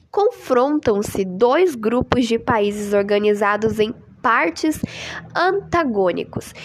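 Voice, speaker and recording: Very slowly, a woman speaks with very wide pitch swings over noticeable background noise. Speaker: amateur podcaster. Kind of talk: informal history talk. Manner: casual, hesitant.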